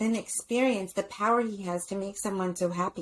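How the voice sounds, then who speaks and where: The woman has an animated tone. Her pace is moderate. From US, Filipino-American family. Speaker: psychologist and speaker. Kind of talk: podcast interview.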